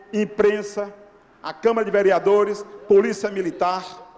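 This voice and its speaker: Over noticeable background noise, the voice carries an animated tone. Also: man. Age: 60s. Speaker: radio journalist, audience member at a public debate. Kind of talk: impassioned public comment at a debate. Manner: animated, exclamatory.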